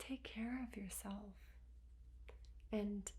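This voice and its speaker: A soft-spoken woman amid audible room echo. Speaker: spiritual healer. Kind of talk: guided healing session. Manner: slow.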